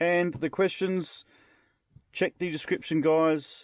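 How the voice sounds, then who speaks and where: Speaking in an Australian accent at a fairly slow pace, a man is heard with a dry, close sound and no echo on a very clean recording with a silent background. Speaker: drone hobbyist YouTuber. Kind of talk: casual video presentation. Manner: casual, conversational.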